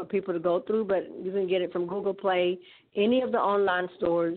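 A woman's medium-pitched voice in an Alabama accent, with fairly even intonation. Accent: Southern US (Alabama). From US South, Alabama. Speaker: gospel recording artist. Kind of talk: casual interview.

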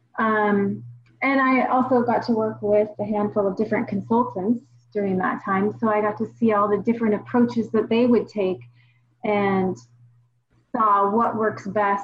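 A woman with an American accent speaks at a moderate pace and medium pitch. Her voice is somewhat breathy, with ordinary pitch variation. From Washington State, US. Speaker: dental practice management consultant. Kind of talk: casual interview.

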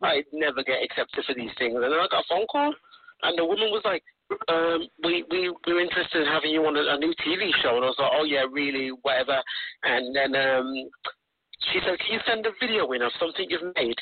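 A man speaks at a fairly quick pace with a fairly high pitch. His loudness stays very even. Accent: Birmingham. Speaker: rapper. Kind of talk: casual chat. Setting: phone call.

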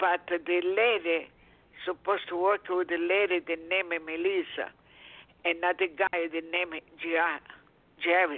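In a non-native accent, a woman with a fairly low pitch speaks in a monotone, flat intonation. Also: fairly slow pace. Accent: noticeable foreign. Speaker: caller. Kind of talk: call-in question. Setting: phone call with background noise. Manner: halting.

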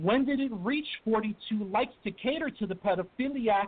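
A man talks fairly slowly, his pitch high and his intonation lively. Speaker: poet, author. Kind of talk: poetry reading. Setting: phone call.

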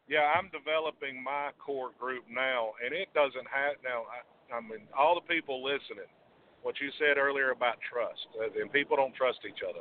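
This man has an unremarkable speaking voice, pitched fairly high, with ordinary pitch variation and a moderate pace. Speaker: caller. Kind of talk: phone-in call. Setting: phone call. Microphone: line dropping out.

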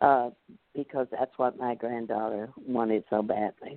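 A woman talks in a Southern US accent. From US South, North Louisiana. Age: 80s. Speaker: retired school principal. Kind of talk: interview.

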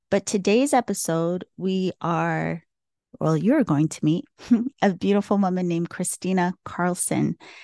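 With an American accent, a woman speaks at a fairly low pitch in a dark, mellow tone with ordinary pitch variation, the sound dry and close with no echo. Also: fairly slow pace, quiet background. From US Northeast (Massachusetts). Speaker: podcast host, Reiki practitioner. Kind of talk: solo podcast intro and outro; casual interview chat.

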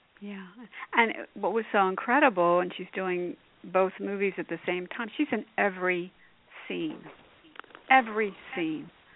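Long, frequent pauses break up speech at a moderate pace, with ordinary pitch variation, big swings in loudness and noticeable background noise. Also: woman, medium pitch for a woman. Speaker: radio host. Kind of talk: casual interview chat.

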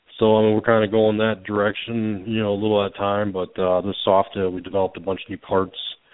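Speaking very fast in a flat monotone, a man with an American accent uses a fairly low pitch. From Florida Gulf Coast (Bradenton). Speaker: custom motorcycle builder. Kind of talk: casual interview.

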